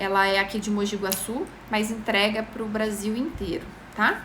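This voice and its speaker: Fairly high-pitched woman at a fairly slow pace, with audible room echo and noticeable background noise. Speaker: makeup tutorial host. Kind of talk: live-stream tutorial. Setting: live stream.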